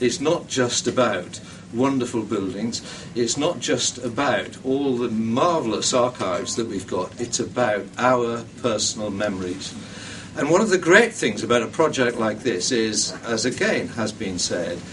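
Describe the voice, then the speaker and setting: A man talks at a fairly slow pace with ordinary pitch variation and a medium pitch. Background noise is noticeable. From northeast England. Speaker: heritage funding committee member. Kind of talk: public speech. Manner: hesitant with many ums.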